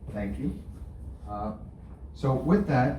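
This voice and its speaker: Loud, with a dark, mellow tone and vocal fry, a man speaks at a moderate pace. His pitch swings very widely, and audible room echo surrounds the voice. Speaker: housing agency web manager. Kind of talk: presentation.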